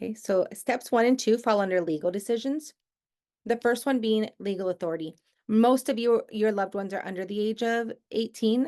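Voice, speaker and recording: A woman with an American accent speaks at a fairly quick pace, her fairly high pitch carrying ordinary pitch variation and a dark, mellow tone. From Southern California. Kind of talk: online workshop presentation. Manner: fast.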